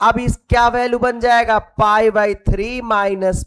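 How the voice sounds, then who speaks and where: A man speaks in a high pitch at a very slow pace. The sound is dry and close with no echo. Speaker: teacher. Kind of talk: lecture. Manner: animated.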